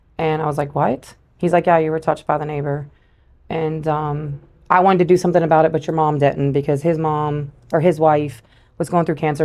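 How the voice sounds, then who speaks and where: A woman with an American accent talks fairly quickly in a very deep, low pitch, her dark, mellow tone held in a monotone, flat intonation. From US South, Louisiana bayous. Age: 40s. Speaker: guest sharing her life story. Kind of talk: testimony. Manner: hesitant, many filler 'um's.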